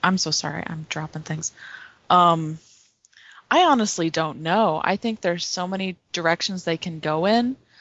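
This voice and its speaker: A woman speaks in an unremarkable speaking voice at a fairly low pitch, at a moderate pace with ordinary pitch variation. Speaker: blogger. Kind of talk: casual chat.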